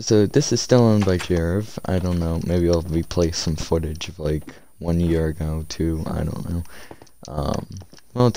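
A man with a very deep, low pitch and ordinary pitch variation speaks fairly slowly, in a dry sound with no echo over light background noise. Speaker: gamer commentator. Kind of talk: casual gameplay commentary. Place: home room.

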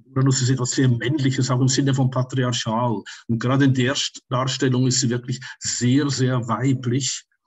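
In a Swiss German accent, a man speaks at a medium pitch and a moderate pace, his voice somewhat breathy. His intonation is monotone and flat, his loudness very even, and the background quiet. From Switzerland. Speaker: tarot teacher and astrologer; tarot teacher. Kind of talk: interview. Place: home room. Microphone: webcam.

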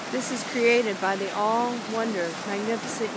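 The voice has a gentle tone and a moderate pace. Noticeable background noise can be heard. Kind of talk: guided meditation. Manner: reflective, gentle.

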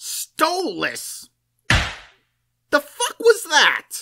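Put-on character voice from a man, pitched extremely high. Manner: brash, crude.

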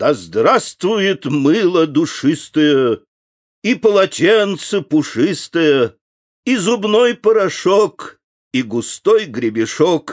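Speaking at a very slow pace, a man with a high pitch makes very wide pitch swings while keeping his loudness very even. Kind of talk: reading aloud a children's poem. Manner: animated, sing-song, playful rhythm with rising and falling intonation.

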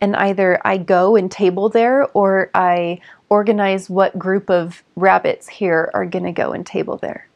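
A woman with an American accent, fairly slow and with hardly any pauses, in fairly even intonation against a quiet background. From Southern California. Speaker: ecovillage resident. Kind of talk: documentary interview. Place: home room.

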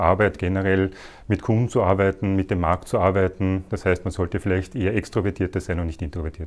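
A man with a normal speaking voice talks at a fairly quick pace in a fairly low pitch. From Austria, Vienna (Meidling); Vienna. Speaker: company department head. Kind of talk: corporate career interview. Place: office. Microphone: lapel.

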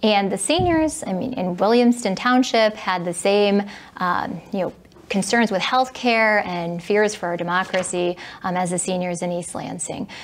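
A woman speaks with a Midwestern American accent. Her pace is moderate and her pitch variation ordinary. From Michigan (Southfield); Michigan. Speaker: political candidate, attorney; candidate. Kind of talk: candidate interview. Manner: hesitant, many fillers. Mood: earnest, calm. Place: studio.

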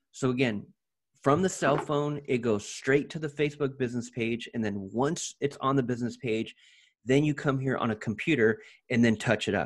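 A man talks at a fairly quick pace, his pitch moving in an ordinary way, with a quiet background. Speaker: ads coach guiding a client. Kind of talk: tutorial. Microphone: video call.

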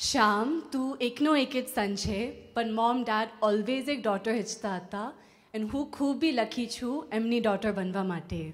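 Speaking with a non-native accent, a woman uses a fairly high, somewhat breathy voice with ordinary pitch variation. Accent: non-native Gujarati. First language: English (speaking Gujarati). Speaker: bride-to-be giving a speech. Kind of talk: prepared speech. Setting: engagement party with audience. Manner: careful, effortful second-language delivery. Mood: warm, joyful, smiling. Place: hall. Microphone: handheld.

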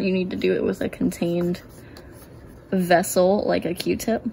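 Light background noise under a woman's speech. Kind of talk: tutorial. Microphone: phone near.

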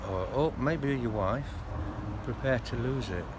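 A man speaks at a fairly slow pace. Noticeable background noise runs behind him. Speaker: expat interviewee. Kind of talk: casual interview. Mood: reflective, mildly rueful. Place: garden. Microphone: phone near.

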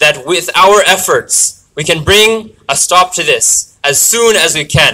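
His tone is bright and sharp as the man talks. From Canada. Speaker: student activist. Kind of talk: rally speech. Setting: outdoors rally with crowd. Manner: earnest, emotional, halting; impassioned, pleading. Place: street.

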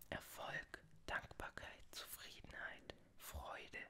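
A woman is whispering. Her voice stays in a whisper throughout. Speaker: tarot reader (roleplay persona). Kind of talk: ASMR roleplay, tarot reading. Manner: whispered, soft-spoken. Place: home room. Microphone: studio mic.

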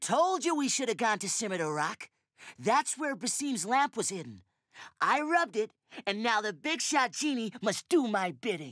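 In a cartoonish character voice, a man speaks at an extremely high pitch with very wide pitch swings. His pace is moderate.

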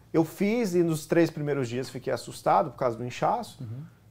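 In a dark, mellow tone, a man speaks with very wide pitch swings. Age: 30s. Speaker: actor. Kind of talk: talk show interview. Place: studio. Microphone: lapel.

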